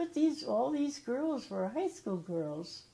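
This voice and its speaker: The woman's tone is dark and mellow. She speaks at a fairly slow pace. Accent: Midwestern American. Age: 80s+. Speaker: retired high school alumna. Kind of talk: interview answer. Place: home room. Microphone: lapel.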